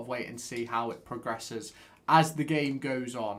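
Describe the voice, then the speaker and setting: A man with an East Midlands accent and ordinary pitch variation. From England, Derby. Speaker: football fan streamer. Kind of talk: live watchalong commentary and chat-reading. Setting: live stream with webcam. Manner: animated.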